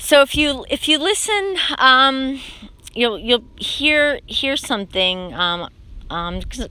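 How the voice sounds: With a bright, sharp tone, a woman speaks at a fairly slow pace and with lively intonation.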